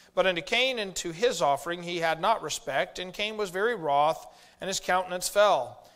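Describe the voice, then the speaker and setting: A man's high voice at a moderate pace with ordinary pitch variation and a quiet background. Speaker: preacher. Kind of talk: sermon. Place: church.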